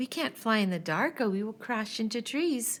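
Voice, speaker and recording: Using a put-on character voice, a woman talks at a moderate pace and a fairly high pitch on a very clean recording with a silent background. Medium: read story.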